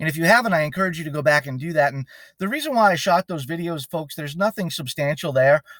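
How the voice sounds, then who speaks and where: The recording is very clean with a silent background, dry and close with no echo. A man speaks in a fairly high pitch with ordinary pitch variation. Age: 40s. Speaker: window cleaning business owner. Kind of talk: sales pitch. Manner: casual, with frequent fillers; admits to rambling.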